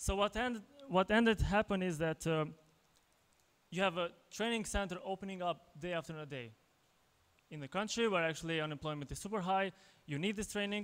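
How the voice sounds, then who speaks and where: Using ordinary pitch variation, a man with an Albanian accent speaks at a high pitch, leaving long, frequent pauses. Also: fairly quick pace. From Kosovo. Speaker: tech entrepreneur, conference speaker; conference speaker. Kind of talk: conference talk. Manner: halting, many fillers and repetitions. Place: hall. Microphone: handheld.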